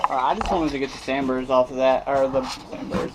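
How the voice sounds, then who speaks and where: A man is speaking. Background noise is noticeable. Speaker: metalworking hobbyist. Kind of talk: workshop tutorial. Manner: fast; halting, many fillers.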